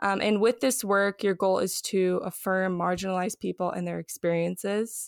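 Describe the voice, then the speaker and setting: A normal speaking voice with an American accent moves at a moderate pace with hardly any pauses and fairly even intonation, in a dry, close sound with no echo. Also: woman, medium pitch for a woman. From Los Angeles. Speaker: podcast host. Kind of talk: interview.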